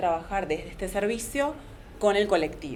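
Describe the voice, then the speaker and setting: Lively intonation from a woman at medium pitch, with audible room echo. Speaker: psychologist and antiracist activist. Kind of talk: panel talk. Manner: fast.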